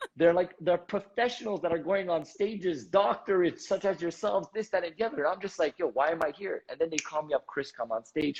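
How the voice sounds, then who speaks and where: A man talks at a high pitch with an Armenian accent. His pace is fairly quick, and his pitch varies in an ordinary way. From Canada, Montreal. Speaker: entrepreneur and motivational speaker. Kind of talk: interview storytelling. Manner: animated.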